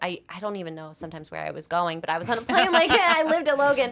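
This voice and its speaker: Over noticeable background noise, a woman with a Boston accent talks at a very fast pace in a fairly high pitch, her pitch swinging very widely. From Massachusetts, North Attleboro (Boston area). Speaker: co-founder of an ice cream company. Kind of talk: podcast interview.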